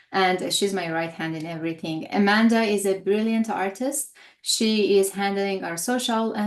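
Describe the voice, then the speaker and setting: Her voice is medium-pitched with ordinary pitch variation. The woman talks at a moderate pace over a quiet background. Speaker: holistic health coach. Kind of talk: webinar presentation. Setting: live stream webinar. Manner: hesitant, many fillers.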